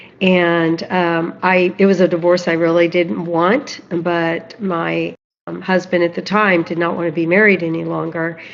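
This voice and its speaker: A woman speaks in a normal speaking voice, pitched fairly low, with fairly even intonation. Her pace is fairly slow, and there are hardly any pauses. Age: 60s. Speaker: guest, financial and personal development coach. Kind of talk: live podcast interview, personal story.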